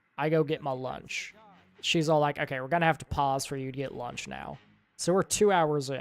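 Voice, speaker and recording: The delivery is moderately paced. Music can be heard in the background. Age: 20s. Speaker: streamer. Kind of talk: casual chat. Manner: halting.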